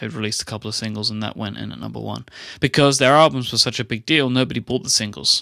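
A man with an English accent speaks at a fairly low pitch in a bright, sharp tone. The sound is dry and close with no echo, over a quiet background. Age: 20s. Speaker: podcaster. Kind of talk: casual chat.

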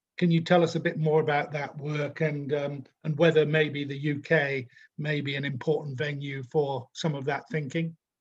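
A somewhat breathy man's voice, fairly high in pitch, monotone and flat, at a moderate pace with hardly any pauses. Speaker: interviewer, podcast host. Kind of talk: interview. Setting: video call.

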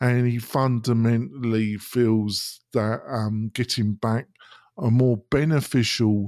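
In an English accent, a man speaks at a medium pitch at a very slow pace with fairly even intonation. The recording is very clean, with a silent background. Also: dry, close sound with no echo. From Britain. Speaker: web design and e-learning business owner. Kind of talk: podcast interview. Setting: studio.

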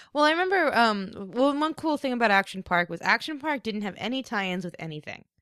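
Very fast speech with a bright, sharp tone and very wide pitch swings comes in an American accent. The recording is very clean, with a silent background and a dry, close sound with no echo. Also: woman, fairly high pitch for a woman. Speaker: English teacher abroad. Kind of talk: casual chat.

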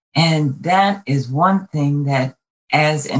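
A woman with an American accent has a very deep, low pitch and ordinary pitch variation. Her voice is somewhat breathy. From Brooklyn, New York. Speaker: state legislator and Air Force veteran. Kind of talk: interview.

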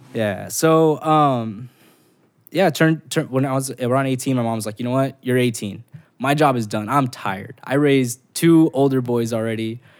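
At a moderate pace and with ordinary pitch variation, a plain, everyday voice speaks in an American accent. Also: man, medium pitch for a man. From Los Angeles, South Central / Southeast. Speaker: nonprofit founder. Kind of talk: casual chat.

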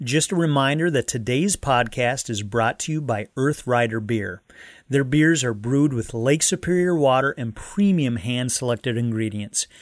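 Lively intonation marks a plain, everyday voice moving at a moderate pace on a very clean recording with a silent background. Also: man, medium pitch for a man. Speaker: podcast host. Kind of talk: casual interview conversation.

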